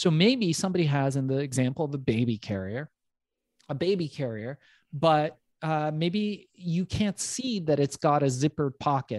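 A man with a plain, everyday voice and fairly high pitch speaks with ordinary pitch variation in a dry, close sound with no echo. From US West Coast, emigrated from Iran at age four or five. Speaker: entrepreneur and business coach. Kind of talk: interview. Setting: remote interview, host on other coast.

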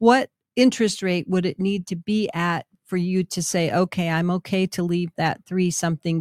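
In a very clean recording with a silent background and a dry, close sound with no echo, a woman with an American accent has a plain, everyday voice, a fairly low pitch and a moderate pace. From Minnesota. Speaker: real estate agent and radio host. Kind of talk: casual radio talk show.

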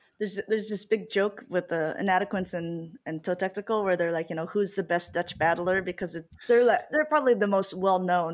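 The recording is very clean, with a silent background. A woman talks at a fairly quick pace, in a medium pitch with ordinary pitch variation. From US Midwest, Iowa. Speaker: esports commentator. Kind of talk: casual chat.

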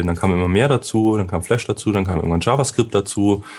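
The man talks very fast and fairly low, and the recording is very clean with total silence behind him. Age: 30s. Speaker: SEO consultant. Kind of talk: interview. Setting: studio.

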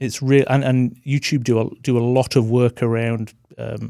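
On a very clean recording with a silent background, a man speaks in a dark, mellow tone at a medium pitch with monotone, flat intonation. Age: 40s. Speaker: designer and agency co-founder. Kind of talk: casual chat. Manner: halting.

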